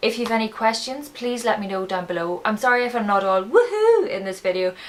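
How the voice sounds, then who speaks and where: A woman with an Irish accent. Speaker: beauty vlogger. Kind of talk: casual product review vlog. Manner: flat, low-energy.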